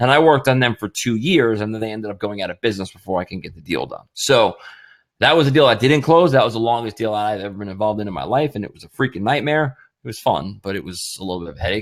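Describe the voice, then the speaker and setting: The delivery is very fast and energetic, with big swings in loudness and lively intonation. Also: man, medium pitch for a man. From Winnipeg, Canada. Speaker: sales trainer. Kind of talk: live webinar training. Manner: energetic, emphatic.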